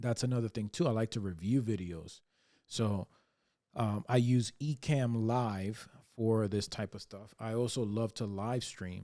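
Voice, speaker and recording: At a moderate pace, a man talks in a dark, mellow tone at a fairly low pitch. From Dominican Republic. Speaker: YouTuber and relationship coach. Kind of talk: casual vlog talk to camera. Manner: monotone; hesitant with many fillers.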